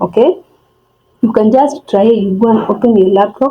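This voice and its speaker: A woman speaks with a non-native accent in a somewhat breathy voice. Her pitch is fairly high with ordinary variation. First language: not English. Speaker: forex trading tutorial vlogger. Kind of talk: tutorial. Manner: halting, many fillers and restarts.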